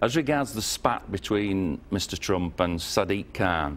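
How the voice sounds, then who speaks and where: A man with a northern English accent at a fairly slow pace, over light background noise. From northern England. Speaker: former member of parliament; guest. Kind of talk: TV interview. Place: studio.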